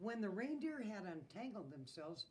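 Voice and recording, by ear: A passage is read aloud in a natural voice.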